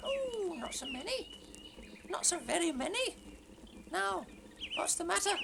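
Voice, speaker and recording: A put-on character voice at a moderate pace, with long, frequent pauses and loud background noise. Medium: audio drama. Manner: jolly, chuckling.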